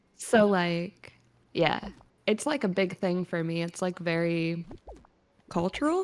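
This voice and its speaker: A woman's fairly low voice with a slight Southern US accent, a very slow pace and long, frequent pauses. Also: ordinary pitch variation. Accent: slight Southern twang. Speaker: caller. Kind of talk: casual chat.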